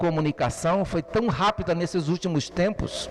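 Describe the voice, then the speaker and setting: Ordinary pitch variation and a moderate pace over music in the background. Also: man. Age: 70s. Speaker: preacher. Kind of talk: sermon.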